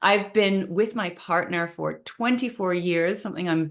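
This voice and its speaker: A woman with a fairly low pitch and ordinary pitch variation talks at a moderate pace over a quiet background. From Canada, Vancouver. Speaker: manifestation coach. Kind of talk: online training session.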